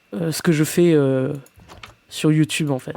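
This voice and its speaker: A man with a fairly high voice speaks very slowly, his intonation fairly even. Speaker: gaming YouTuber. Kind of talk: let's play commentary. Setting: home at night. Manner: halting, many fillers.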